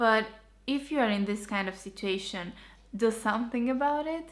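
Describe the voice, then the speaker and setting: A woman with a Romanian accent speaks at a fairly high pitch. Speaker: architecture graduate vlogger. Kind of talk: tutorial.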